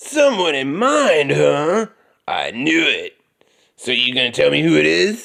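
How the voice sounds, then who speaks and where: Putting on a character voice, a man sounds gravelly and speaks at a fairly slow pace. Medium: solo performance. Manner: playful, teasing.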